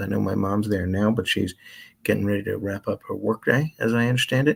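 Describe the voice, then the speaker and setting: A soft-spoken man with an American accent, fairly low in pitch, at a very fast pace in a very clean recording with a silent background. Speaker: radio host. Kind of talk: casual chat.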